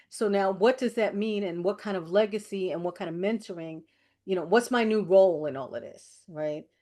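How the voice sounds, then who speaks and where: A woman with an American accent speaks in an ordinary speaking voice at medium pitch, with ordinary pitch variation, at a moderate pace against a quiet background. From New York. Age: 60s. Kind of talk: casual chat.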